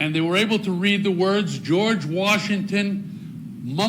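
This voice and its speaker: Over noticeable background noise and audible room echo, a man with an American accent speaks at a very slow pace in a high pitch with fairly even intonation. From northern New Jersey. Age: 80s+. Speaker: veteran speaking at council meeting. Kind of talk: public comment speech. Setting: council meeting chamber.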